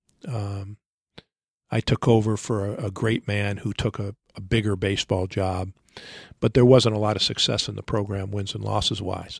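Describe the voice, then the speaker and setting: A somewhat breathy, fairly low-pitched man at a moderate pace in a flat monotone, with a dry, close sound and no echo. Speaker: baseball coach. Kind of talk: interview.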